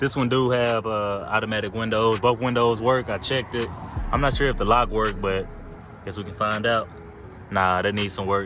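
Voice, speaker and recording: A man with a fairly low pitch talks at a fairly quick pace, with noticeable background noise behind him. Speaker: car vlogger. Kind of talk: casual walkaround car video. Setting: outdoors near a freeway. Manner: loud.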